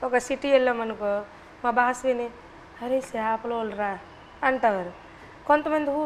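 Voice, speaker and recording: A woman's high voice over noticeable background noise. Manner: explaining, conversational.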